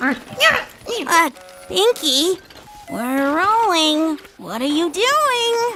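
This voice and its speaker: An extremely high-pitched, cartoonish character voice drags along at a very slow pace amid clear background noise. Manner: blunt, sarcastic.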